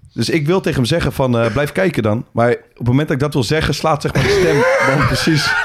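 Over noticeable background noise, a man with a fairly high pitch talks at a fairly quick pace with hardly any pauses, his intonation lively and his loudness very even. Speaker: podcast co-host and football coach. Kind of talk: casual chat.

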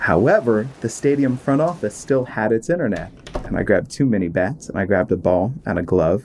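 A man with an American accent talks at a fairly quick pace, his medium pitch moving in very wide swings. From Maryland, US. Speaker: minor league baseball broadcaster. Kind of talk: live baseball commentary. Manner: animated, rising, crisp play-by-play call.

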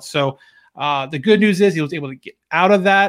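Words tumble out very fast, and the pitch rises and falls in an ordinary way. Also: man. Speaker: podcast host. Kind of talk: sports commentary. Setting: solo recording. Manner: recaps play by play, mixing upbeat narration with casual asides; conversational, with filler words.

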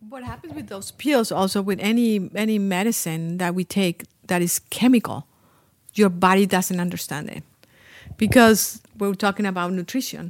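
Speaking in a Spanish accent at a moderate pace, a woman with a medium pitch and ordinary pitch variation shows big swings in loudness. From Colombia. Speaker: Ayurvedic spa owner and healer. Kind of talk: casual interview. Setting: at her spa with small group.

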